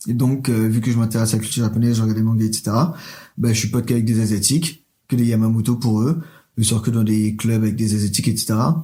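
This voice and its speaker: Fairly even intonation and a somewhat breathy quality mark this man's speech. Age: 20s. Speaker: drag queen. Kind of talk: interview. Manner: hesitant.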